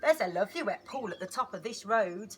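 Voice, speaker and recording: A woman puts on a croaky character voice, pitched fairly high and delivered at a very fast pace. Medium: read story.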